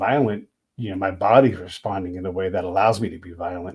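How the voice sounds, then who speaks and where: Fairly quick and somewhat breathy, a man's fairly low voice keeps fairly even intonation on a very clean recording with a silent background. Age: 50s. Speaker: podcast host and military veteran. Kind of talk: casual interview conversation.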